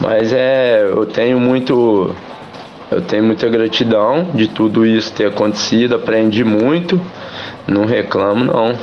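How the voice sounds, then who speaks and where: A man's medium-pitched voice at a fairly slow pace, with ordinary pitch variation and very even loudness, amid audible room echo and noticeable background noise. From Minas Gerais, Brazil (São João del-Rei). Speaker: amateur footballer and barber. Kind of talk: radio interview.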